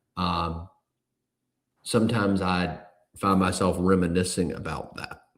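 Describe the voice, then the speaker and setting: A man with a very deep, low voice speaks in a monotone, flat intonation, leaving long, frequent pauses. Audible room echo surrounds him. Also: fairly slow pace. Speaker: personal injury lawyer. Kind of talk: interview. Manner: fluid, articulate.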